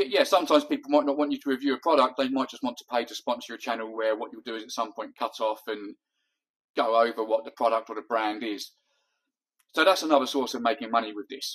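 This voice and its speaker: At a very fast pace, a man talks at medium pitch with ordinary pitch variation and big swings in loudness. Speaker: YouTuber giving advice. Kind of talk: tutorial.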